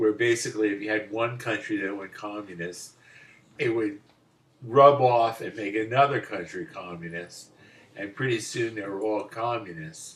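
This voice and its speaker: A man speaks at a moderate pace with a medium pitch. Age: 60s. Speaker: father interviewed by son. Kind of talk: casual chat. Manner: halting.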